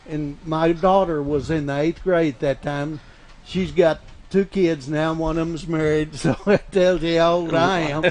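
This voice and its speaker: A man with an Oklahoma accent speaks with fairly even intonation. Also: fairly high pitch for a man, fairly slow pace. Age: 70s. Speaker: radio host. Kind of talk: casual chat.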